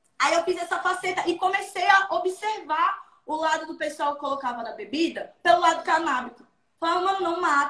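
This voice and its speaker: In a raised, projected voice, a woman speaks at a moderate pace with an animated tone, an extremely high pitch, a bright, sharp tone, and ordinary pitch variation. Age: 20s. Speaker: comedian and content creator. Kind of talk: casual interview.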